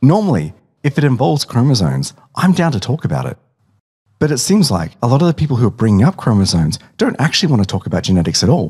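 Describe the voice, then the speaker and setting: This man speaks at a very fast pace and a medium pitch. His pitch swings very widely. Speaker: narrator. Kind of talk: science explainer narration. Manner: casual, humorous.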